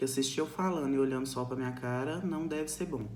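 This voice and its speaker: With audible room echo, a woman speaks at a fairly quick pace in a very deep, low pitch. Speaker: nursing teacher. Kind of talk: recorded lecture. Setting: recorded alone to camera.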